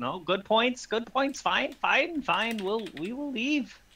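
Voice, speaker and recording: Putting on a character voice, a man talks at an extremely high pitch and a fairly slow pace. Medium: actual play.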